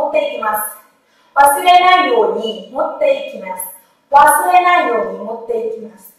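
A woman speaks very fast in a high voice, her pitch swinging very widely and her loudness rising and falling sharply, with strong echo filling the room. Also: quiet background. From Vietnam. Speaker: Japanese language teacher. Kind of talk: lecture. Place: classroom. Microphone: camera far.

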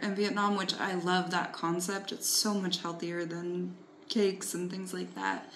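In a room with audible echo and light background noise, a woman speaks at a moderate pace with monotone, flat intonation. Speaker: travel vlogger. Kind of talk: casual chat. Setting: outdoors.

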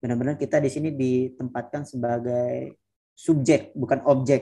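A man's dark, mellow tone at a moderate pace, fairly even in intonation, over a quiet background. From West Nusa Tenggara, Indonesia. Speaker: master's student; guest. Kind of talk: presentation in online interview; webinar talk and interview answer. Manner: halting, many fillers. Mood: warm, encouraging. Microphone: video call.

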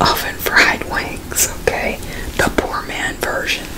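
Loud background noise around a woman's very slow speech. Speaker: mukbang host. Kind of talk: casual vlog chat. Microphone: studio mic.

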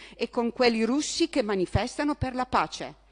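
An unremarkable speaking voice, a woman's, fairly high in pitch, at a moderate pace with ordinary pitch variation, dry and close with no echo. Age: 60s. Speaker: opposition town councillor. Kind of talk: council debate speech.

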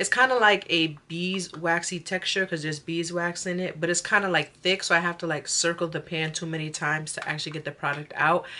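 Using a plain, everyday voice, a woman speaks at a moderate pace with fairly low pitch and fairly even intonation. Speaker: beauty vlogger. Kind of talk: casual makeup tutorial chat. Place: home room. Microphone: phone near.

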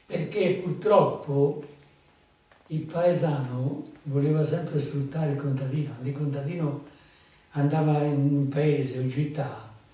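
Long, frequent pauses break up this man's fairly slow speech, with audible room echo around him. His pitch is fairly high and his intonation fairly even. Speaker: farmer and folk storyteller. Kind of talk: storytelling to an audience. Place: hall.

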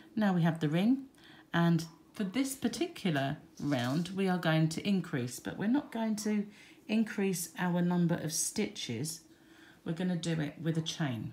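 A somewhat breathy, fairly low woman's voice with lively intonation. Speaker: crochet teacher. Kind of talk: tutorial. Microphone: phone near.

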